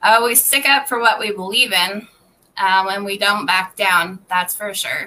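At a fairly slow pace, a woman speaks in a bright, sharp tone at a medium pitch with ordinary pitch variation. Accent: American. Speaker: gym general manager. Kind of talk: casual chat.

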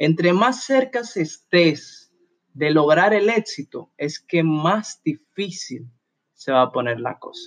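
In a dry, close sound with no echo, a man speaks very slowly at a high pitch with very wide pitch swings. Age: 20s. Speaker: motivational podcaster. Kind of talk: motivational monologue.

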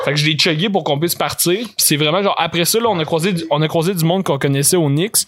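A man with a Quebec accent talks at a very fast pace. His pitch varies in an ordinary way. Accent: Québécois French. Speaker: podcast guest. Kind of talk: casual chat.

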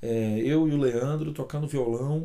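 A man at medium pitch, with a dark, mellow tone, on a very clean recording over a silent background. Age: 40s. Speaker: singer-songwriter vlogger. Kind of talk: casual vlog monologue. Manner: unscripted, hesitant fillers.

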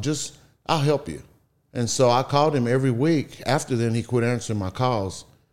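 A man talks with a Southeast Texas accent at a moderate pace and with ordinary pitch variation. The recording is very clean, with a silent background. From Texas, Beaumont. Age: 50s. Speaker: real estate investor. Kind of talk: casual interview.

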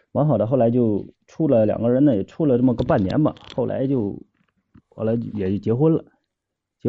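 A man with a plain, everyday voice talks at a medium pitch and a fairly quick pace, his intonation lively. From Shenyang, northeast China. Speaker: caller. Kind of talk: phone-in advice chat.

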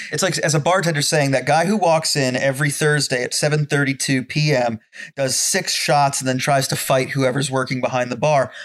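Fairly high in pitch, a man with an unremarkable speaking voice talks at a fairly quick pace, with very even loudness and fairly even intonation. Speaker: podcast co-host. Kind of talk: casual chat over drinks, podcast.

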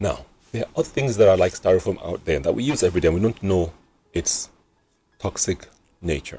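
A man speaks at a fairly quick pace with long, frequent pauses, his very deep, low pitch carrying a dark, mellow tone, lively intonation and a somewhat breathy quality. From Nigeria. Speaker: physician and radio health host. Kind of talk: radio talk show.

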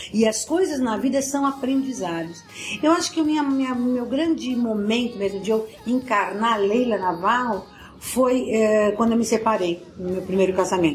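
Fairly high in pitch, a woman speaks at a fairly slow pace with lively intonation. Audible room echo and noticeable background noise come through. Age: 60s. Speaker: motivational speaker. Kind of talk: interview. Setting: at her home.

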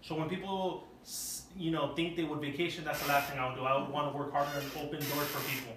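Very fast and fairly high-pitched, a man speaks with fairly even intonation. Noticeable background noise and audible room echo fill the recording. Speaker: podcast host. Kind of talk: casual chat. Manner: loud. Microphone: no microphones, camera audio.

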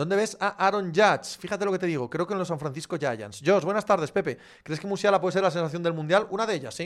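A man's high, animated voice at a very fast pace with hardly any pauses and ordinary pitch variation, in a very clean recording with a silent background. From Galicia, Spain. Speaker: sports podcast host. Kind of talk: live chat Q&A reading viewer comments. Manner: casual, animated.

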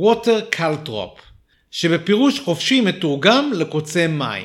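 Delivered at a very slow pace, the speech has very wide pitch swings. The recording is very clean, with a silent background. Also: man. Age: 40s. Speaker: podcast host. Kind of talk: scripted narration. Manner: animated.

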